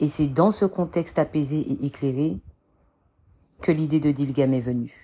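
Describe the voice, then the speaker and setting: A woman with a very deep, low pitch and a dark, mellow tone speaks at a fairly slow pace with ordinary pitch variation and long, frequent pauses. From Martinique. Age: 30s. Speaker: podcast host, entrepreneur. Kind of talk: personal storytelling monologue.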